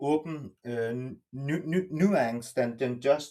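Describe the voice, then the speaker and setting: A man with a non-native accent talks at a fairly slow pace in a dark, mellow tone. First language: not English. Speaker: participant in online discussion. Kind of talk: open group discussion. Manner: halting, many false starts.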